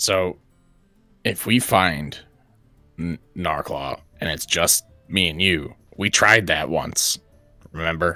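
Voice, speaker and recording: A raspy, put-on character voice speaks at a very slow pace with long, frequent pauses. Faint music plays in the background. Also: man, very deep, low pitch for a man. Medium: actual play. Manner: sardonic, profane.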